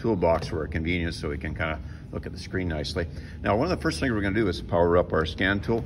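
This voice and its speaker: Over noticeable background noise, a man talks very fast in a very deep, low voice with ordinary pitch variation. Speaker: mechanic instructor. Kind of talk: tutorial. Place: garage. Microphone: phone near.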